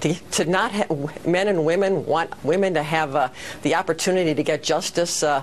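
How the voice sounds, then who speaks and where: Amid noticeable background noise, a woman with an American accent speaks at a fairly quick pace with ordinary pitch variation. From Wisconsin. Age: 60s. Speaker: political candidate. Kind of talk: TV news interview.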